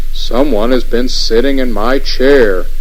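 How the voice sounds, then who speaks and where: A man uses a put-on character voice at a fairly slow pace, with clear background noise. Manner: gruff, indignant.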